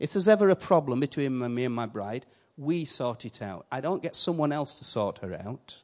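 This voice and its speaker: With lively intonation and a fairly quick pace, the speaker talks in a Yorkshire accent over a quiet background. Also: man, fairly high pitch for a man. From Yorkshire, northern England. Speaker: visiting preacher. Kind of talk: sermon. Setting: church. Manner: animated.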